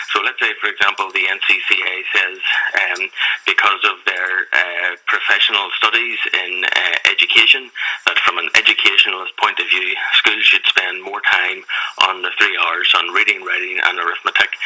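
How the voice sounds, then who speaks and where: Noticeable background noise sits behind a man speaking with a Belfast accent. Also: moderate pace. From Northern Ireland, Belfast. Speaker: campaigner for a secularist group. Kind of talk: radio interview.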